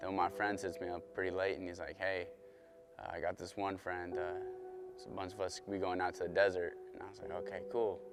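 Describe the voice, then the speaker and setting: In a Southern Californian accent, a man talks at a fairly quick pace in a fairly low pitch with fairly even intonation and big swings in loudness, music playing in the background. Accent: Southern Californian American. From Southern California, US. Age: 20s. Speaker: college student and football player. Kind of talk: testimony. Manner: halting, many filler words.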